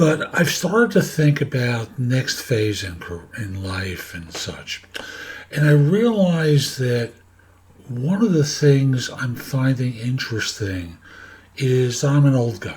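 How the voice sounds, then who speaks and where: Pitch swings very widely as a man speaks at a very slow pace from a medium pitch. His voice is somewhat breathy, and its loudness rises and falls a great deal. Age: 70s. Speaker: career coach and podcaster. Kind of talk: casual monologue to camera. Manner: halting, with fillers.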